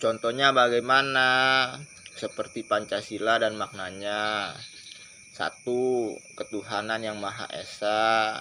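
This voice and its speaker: A man's very slow, monotone, flat delivery at medium pitch, with noticeable background noise. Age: 20s. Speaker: video blogger. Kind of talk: informal lecture monologue.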